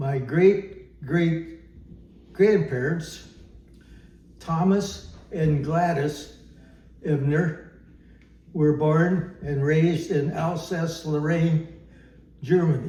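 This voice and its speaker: The speaker has an American accent and a dark, mellow tone, talking at a very slow pace with fairly even intonation and long, frequent pauses, and audible room echo can be heard. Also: man, fairly high pitch for a man. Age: 90s. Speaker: elderly man telling family history. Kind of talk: oral history interview. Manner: halting, many fillers.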